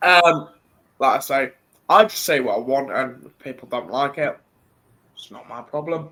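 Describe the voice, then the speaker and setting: A man speaks with a British accent and a bright, sharp tone. He leaves long, frequent pauses. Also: fairly high pitch for a man, ordinary pitch variation, moderate pace, big swings in loudness. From Britain. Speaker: wrestling podcast host. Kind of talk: casual chat.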